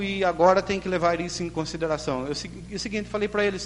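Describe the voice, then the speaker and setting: A man with a rural Brazilian accent speaks with a high pitch and lively intonation. Noticeable background noise runs behind him. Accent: rural Brazilian with curled retroflex R. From Limeira, Brazil. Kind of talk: informal.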